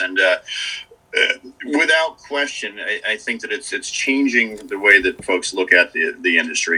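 A man with an American accent at a fairly quick pace, music in the background. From US Northeast, Dutchess County, New York. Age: 40s. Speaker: ski area manager. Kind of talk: casual interview. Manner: halting, many fillers.

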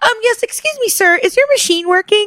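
A put-on character voice, female-sounding and extremely high. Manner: polite, formal.

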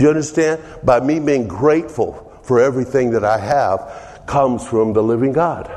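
Over noticeable background noise, a man with an American accent talks at a moderate pace. His loudness stays very even, with ordinary pitch variation. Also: medium pitch for a man. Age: 70s. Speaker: pastor. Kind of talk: sermon. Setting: church.

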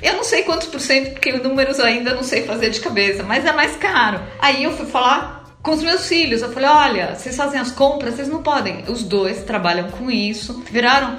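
With lively intonation and a high pitch, a woman speaks over noticeable background noise. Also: moderate pace, hardly any pauses. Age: 50s. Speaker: financial planning client. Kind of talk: testimony.

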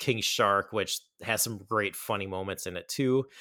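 Recorded very cleanly against a silent background, a man with a plain, everyday voice talks at a moderate pace, his medium pitch showing ordinary pitch variation. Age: 40s. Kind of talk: casual solo movie review.

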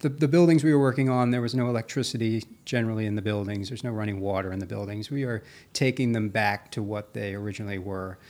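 A man with an American accent talks very fast, with ordinary pitch variation. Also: hardly any pauses, very clean recording, silent background. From Maryland, Carroll County. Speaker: preservation carpenter. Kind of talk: interview. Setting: studio.

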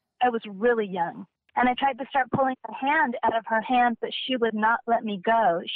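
A woman talks at a fairly quick pace. Her fairly high pitch shows ordinary variation. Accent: American. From Southern California. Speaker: podcast guest recounting paranormal experiences. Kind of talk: personal storytelling in casual interview.

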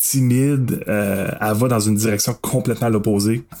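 A man with an unremarkable speaking voice at medium pitch, fairly slow pace and fairly even intonation. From Quebec, Masson-Angers near Gatineau. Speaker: guest horror film fan. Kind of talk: casual chat.

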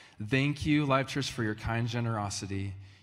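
With audible room echo around him, a man speaks at medium pitch. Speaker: pastor. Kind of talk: church announcements. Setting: church with audience. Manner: casual, halting.

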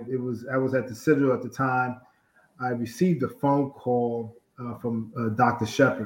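Fairly even intonation runs through a normal speaking voice moving at a moderate pace. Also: man, medium pitch for a man. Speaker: college football head coach. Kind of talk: interview. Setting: video call.

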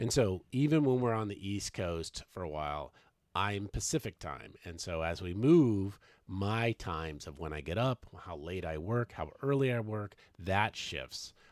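At a fairly slow pace, a man with an American accent speaks with lively intonation on a very clean recording with a silent background. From Washington State. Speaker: podcast co-host, full-time RVer. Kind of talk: casual chat. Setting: in an RV. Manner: loud.

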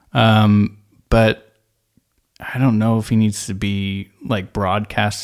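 In a very clean recording with a silent background, a man talks in a normal speaking voice with an American accent, at medium pitch and a fairly slow pace. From US West Coast, San Francisco Bay Area. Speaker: podcast co-host. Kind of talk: casual chat.

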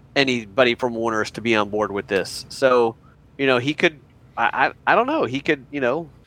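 A man's normal speaking voice at medium pitch and moderate pace, with ordinary pitch variation, a dry, close sound with no echo and a quiet background. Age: 50s. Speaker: podcast co-host. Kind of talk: casual podcast discussion. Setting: basement playroom.

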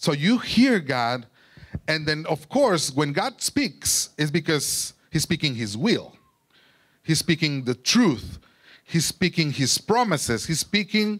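Very slowly, a man speaks with lively intonation at a fairly high pitch. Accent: Mexican. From Mexico. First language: Spanish. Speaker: preacher sharing testimony. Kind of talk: testimony and sermon. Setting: church.

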